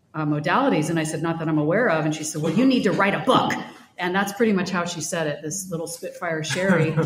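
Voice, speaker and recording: A woman with a fairly low pitch talks at a very fast pace with ordinary pitch variation. Noticeable background noise and audible room echo fill the recording. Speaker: podcast host and prayer minister. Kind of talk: interview as guest in front of peers. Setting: conference stage with audience. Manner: fast talker.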